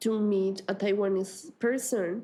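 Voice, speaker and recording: Speaking with a Spanish accent, a woman has a dark, mellow tone at a medium pitch. Her intonation stays fairly even. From Colombia. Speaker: artist and teacher. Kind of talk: interview. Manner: halting, many fillers.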